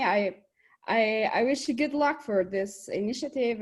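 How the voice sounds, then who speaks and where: A woman speaks with an Albanian accent and ordinary pitch variation. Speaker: economics researcher. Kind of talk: webinar presentation. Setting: video call.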